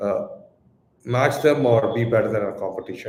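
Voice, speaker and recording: A man with a Tamil Indian accent speaks fairly quickly at a medium pitch, somewhat breathy, with ordinary pitch variation. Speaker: crypto exchange co-founder. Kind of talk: live Q&A stream. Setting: live stream. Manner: hesitant, many fillers and repeats.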